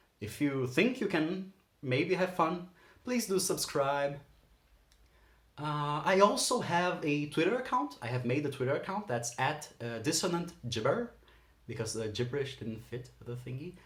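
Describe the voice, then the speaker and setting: This man has a Portuguese accent and a fairly high, somewhat breathy voice. He talks at a fairly slow pace with very wide pitch swings. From Brazil. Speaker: aspiring voice actor, channel host. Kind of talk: casual vlog monologue. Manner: casual, rambling with self-corrections.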